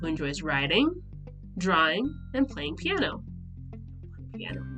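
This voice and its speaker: A woman's nervous-sounding voice over music in the background. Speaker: nonprofit founder. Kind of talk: reading aloud own old poem with asides. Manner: hesitant, nervous.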